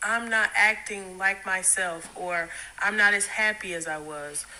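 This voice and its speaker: A woman with an unremarkable speaking voice talks with fairly even intonation. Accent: American. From South Carolina, Greenville. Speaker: counselor. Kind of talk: interview answer.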